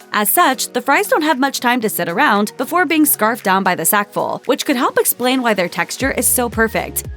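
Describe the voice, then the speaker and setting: Over music in the background, a woman speaks at a fairly quick pace with very wide pitch swings. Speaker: voiceover narrator. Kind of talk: food explainer narration.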